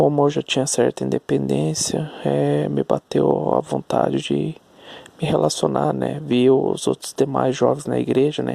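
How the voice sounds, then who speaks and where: A soft-spoken man talks at a fairly slow pace. Background noise is noticeable. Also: dry, close sound with no echo. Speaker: vlogger. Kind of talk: personal storytelling monologue. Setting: at home at night. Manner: halting.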